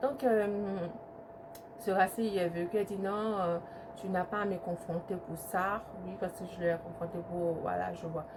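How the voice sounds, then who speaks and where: Through noticeable background noise, a woman speaks at a fairly slow pace with ordinary pitch variation and long, frequent pauses. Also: fairly low pitch for a woman. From Ivory Coast, then Italy from age 8. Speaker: YouTuber. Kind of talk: storytime testimony. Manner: hesitant, many fillers.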